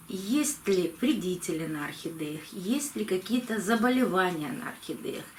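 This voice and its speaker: Over noticeable background noise, a woman speaks at a medium pitch with very wide pitch swings. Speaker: orchid-care video blogger. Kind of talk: tutorial. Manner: slow.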